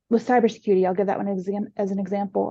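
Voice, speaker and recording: A woman with an American accent speaks at medium pitch in a dark, mellow tone against a quiet background. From USA. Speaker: IT business partner. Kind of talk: panel interview. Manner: hesitant, many fillers.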